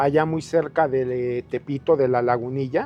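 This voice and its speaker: Very slowly, a man talks. Behind his words, background noise is noticeable. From Mexico, Ciudad Nezahualcóyotl (Mexico City area). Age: 60s. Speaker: local resident sharing life story. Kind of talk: interview.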